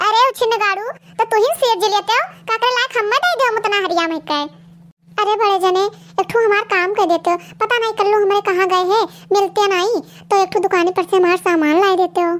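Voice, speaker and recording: Using a cartoonish character voice, a woman pitches herself extremely high. She keeps a fairly quick pace and very even loudness. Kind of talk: rustic comic cartoon dialogue. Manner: loud, quarrelsome.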